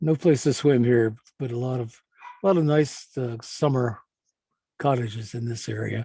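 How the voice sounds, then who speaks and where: A man with an American accent speaks at a moderate pace and a medium pitch, somewhat breathy. He leaves long, frequent pauses, with ordinary pitch variation. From Baltimore, Maryland. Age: 80s+. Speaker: retired man narrating a video tour. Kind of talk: casual narration over a flyover video. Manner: halting, with many repetitions.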